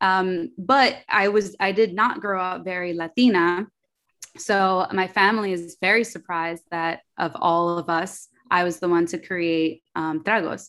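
The speaker has a New York accent and talks at a fairly slow pace. Pitch varies in an ordinary way. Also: woman, medium pitch for a woman. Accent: New York American English. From New York, Queens. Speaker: entrepreneur. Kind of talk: casual chat.

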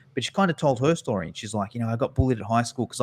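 A man speaks in an Australian accent on a very clean recording with a silent background. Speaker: fitness business educator. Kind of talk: interview.

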